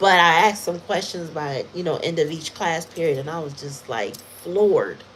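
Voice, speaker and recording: The voice has an animated tone at a moderate pace, with noticeable background noise behind it. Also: woman. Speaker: tarot reader. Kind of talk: tarot reading livestream.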